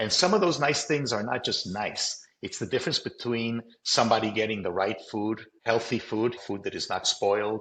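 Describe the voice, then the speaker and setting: Here a man talks at a medium pitch with ordinary pitch variation. His pace is moderate, with hardly any pauses. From Colombia. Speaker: company CEO. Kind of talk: interview.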